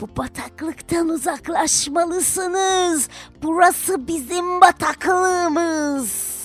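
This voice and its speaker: With clear music behind it, a put-on character voice at an extremely high pitch hisses along at a very slow pace. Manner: hissing.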